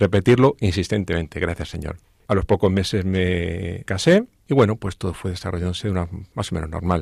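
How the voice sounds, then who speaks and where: With a dry, close sound and no echo, a man speaks at a very deep, low pitch and a fairly quick pace, using ordinary pitch variation. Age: 50s. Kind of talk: testimony. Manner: halting, repeats words.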